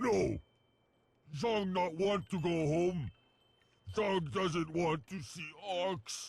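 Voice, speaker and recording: A man's put-on character voice, high in pitch with ordinary pitch variation, very slow and broken by long, frequent pauses. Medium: video game. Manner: broken speech, third person.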